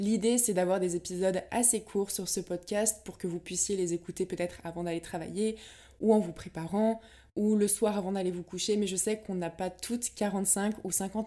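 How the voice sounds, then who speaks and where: Her pace is moderate, and the woman's tone is dark and mellow. The intonation is monotone and flat. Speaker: podcast host and blogger. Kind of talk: casual solo talk. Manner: relaxed.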